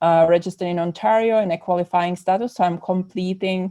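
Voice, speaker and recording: Against a quiet background, a woman with a Czech accent talks at a moderate pace in a medium pitch. Her tone is dark and mellow, her intonation fairly even. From Czech Republic. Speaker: psychotherapist. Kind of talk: podcast interview.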